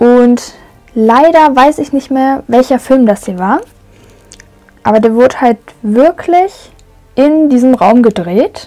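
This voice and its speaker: At a very slow pace, a woman speaks in a high pitch with long, frequent pauses. Faint music plays in the background. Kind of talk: casual tour commentary. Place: hall. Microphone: phone near.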